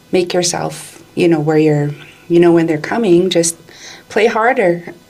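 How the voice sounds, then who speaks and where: Behind her is noticeable background noise. The woman talks at a fairly slow pace and fairly low pitch, with ordinary pitch variation. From Alberta, Canada. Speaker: community leader and advocate. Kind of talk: podcast interview answer, personal story.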